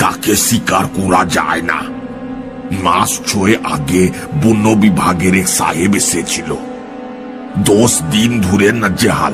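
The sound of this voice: A man performs a put-on character voice at a fairly low pitch and a fairly slow pace. Loud music plays in the background.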